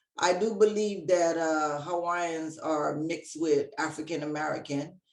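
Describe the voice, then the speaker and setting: This woman's voice has a very deep, low pitch. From Hawaii. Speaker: Reiki practitioner and healer. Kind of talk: interview.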